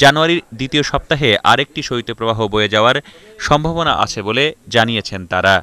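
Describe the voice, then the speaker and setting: A man speaks at a medium pitch with ordinary pitch variation and a bright, sharp tone, recorded dry and close with no echo. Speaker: TV news reporter. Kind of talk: scripted news report narration. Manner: formal.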